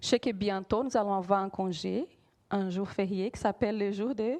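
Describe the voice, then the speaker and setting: A woman with a Brazilian accent speaks at a moderate pace in a fairly high voice with ordinary pitch variation. The sound is dry and close with no echo against a quiet background. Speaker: preacher. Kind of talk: sermon. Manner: halting, frequent hesitations.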